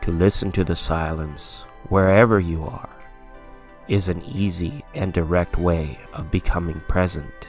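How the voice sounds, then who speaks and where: Over music in the background, a man with a very deep, low voice speaks in a calm, soothing tone at a fairly slow pace with fairly even intonation. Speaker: meditation guide. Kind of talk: guided meditation narration. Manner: calm, slow, soothing.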